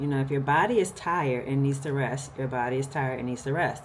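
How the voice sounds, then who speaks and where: A woman's very deep, low voice at a moderate pace with ordinary pitch variation, amid noticeable background noise and audible room echo. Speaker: lifestyle vlogger. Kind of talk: casual vlog talk to camera. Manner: animated.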